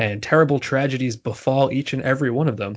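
Speaking at a moderate pace, a man uses a plain, everyday voice, and his pitch varies in an ordinary way. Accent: American. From New Jersey. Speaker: baseball writer. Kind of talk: casual interview. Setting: remote call, not in same room.

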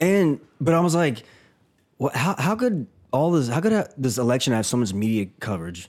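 With a medium-pitched voice, a man speaks at a moderate pace and swings his pitch very widely. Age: 30s. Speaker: podcast co-host. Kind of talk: casual chat.

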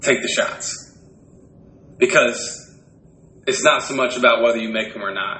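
A man talks at a moderate pace, his loudness swinging widely and broken by long, frequent pauses. Room echo is audible, and background noise is noticeable. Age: 20s. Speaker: podcast co-host and retail district manager. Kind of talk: casual chat.

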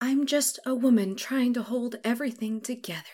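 A woman uses a put-on character voice. It is pitched high. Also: moderate pace. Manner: controlled.

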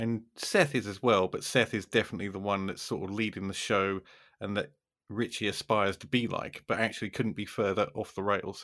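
A man with a plain, everyday voice talks fairly quickly at a fairly low pitch with fairly even intonation, on a very clean recording with a silent background. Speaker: podcast host. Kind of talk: casual chat.

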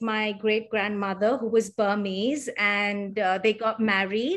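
A woman with an Indian accent speaks very slowly in a fairly high voice. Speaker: yoga teacher. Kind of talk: interview conversation. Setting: remote call from India.

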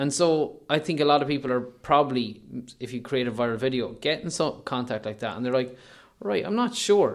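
With an Irish midlands accent, a man talks at a fairly quick pace, his fairly high pitch carrying lively intonation. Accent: Irish (north-west midlands). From Ireland, County Leitrim. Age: 30s. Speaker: online news editor, former radio presenter. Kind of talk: casual chat. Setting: hotel room with window view.

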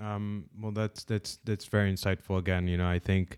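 A man in a monotone, flat delivery, with a very clean recording, silent background and dry, close sound with no echo. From Saudi Arabia (Sudanese family). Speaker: podcast host, psychologist. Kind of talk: interview.

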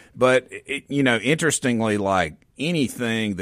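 In a very clean recording with a silent background, a man talks in an ordinary speaking voice. His intonation is lively and his pace moderate. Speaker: physician at a men's health clinic. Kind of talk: radio interview. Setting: radio studio.

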